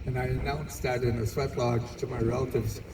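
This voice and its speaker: Medium pitch from a man at a fairly slow pace, with noticeable background noise. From Manitoba, Canada. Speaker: Two Spirit Elder. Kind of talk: public speech at community event. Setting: outdoors, PA system.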